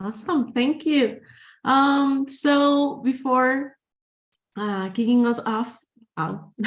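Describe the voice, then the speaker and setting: Speaking at a very slow pace with long, frequent pauses, a woman with a Spanish accent uses a high pitch and ordinary pitch variation. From Guatemala. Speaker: webinar moderator. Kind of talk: webinar Q&A.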